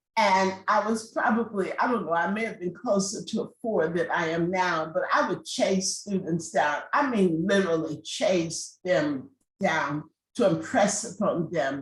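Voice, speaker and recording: Her voice is somewhat breathy, with medium pitch and ordinary pitch variation. The woman speaks at a fairly slow pace. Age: 60s. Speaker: law professor. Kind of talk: panel discussion.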